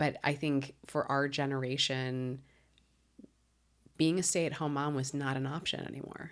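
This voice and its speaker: A woman's very deep, low voice with an American accent, monotone and flat, at a moderate pace with long, frequent pauses. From Chicago suburbs. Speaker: comedian. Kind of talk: casual chat.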